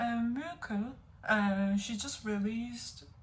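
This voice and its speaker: A woman with a fairly high pitch talks in fairly even intonation, and audible room echo can be heard. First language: not English. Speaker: music reaction youtuber. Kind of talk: music reaction video. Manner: halting.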